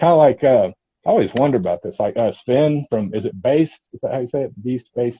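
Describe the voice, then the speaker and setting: A man with a Texan accent, fairly high-pitched and somewhat breathy, very fast and lively in intonation. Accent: Texan twang. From East Texas. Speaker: metal gear channel host. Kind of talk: casual chat. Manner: animated.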